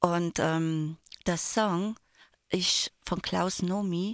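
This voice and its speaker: The delivery is very slow. The sound is dry and close, with no echo. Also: woman, very clean recording, silent background. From Landeck, Tyrol, Austria. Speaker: radio trainee. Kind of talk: casual radio chat. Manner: animated.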